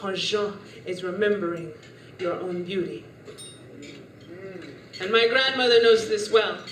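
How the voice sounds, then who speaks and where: A woman at a fairly slow pace, with long, frequent pauses, big swings in loudness and noticeable background noise. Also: medium pitch for a woman, ordinary pitch variation. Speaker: spoken word poet. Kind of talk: spoken word poetry performance.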